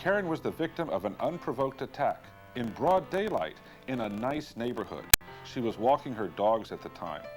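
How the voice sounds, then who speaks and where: Music can be heard behind the speaker. His voice, a man's, swings very widely in pitch. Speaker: infomercial host narrator. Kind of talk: infomercial narration, 1980s TV promo.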